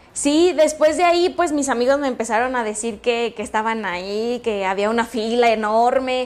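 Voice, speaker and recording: Moderate pace and ordinary pitch variation. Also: woman. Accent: Mexican. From Mexico, Michoacán (Jacona). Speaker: content creator. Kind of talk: interview.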